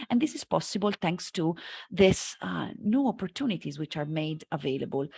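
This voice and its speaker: A woman's voice with very wide pitch swings, in a dry, close sound with no echo. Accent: Italian. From Italy, Florence. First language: Italian. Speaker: marketing lecturer. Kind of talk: conference talk. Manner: hesitant, many fillers.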